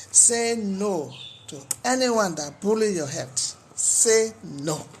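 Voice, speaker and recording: Over audible room echo, a woman speaks very slowly at a medium pitch, with very wide pitch swings and big swings in loudness. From Nigeria, Edo (Benin). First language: Edo. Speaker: health talk vlogger. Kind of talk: motivational talk.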